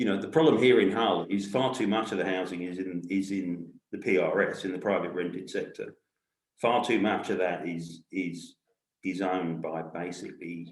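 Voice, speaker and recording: A man with a very deep, low pitch speaks with a London accent. Room echo is audible. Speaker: community housing organisation worker. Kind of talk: panel discussion. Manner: halting.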